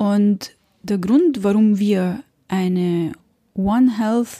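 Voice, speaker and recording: Somewhat breathy and dark, mellow in tone, a woman's medium-pitched voice moves with ordinary pitch variation, recorded dry and close with no echo. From Lebanon, Beirut. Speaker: animal welfare campaigner. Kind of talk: interview.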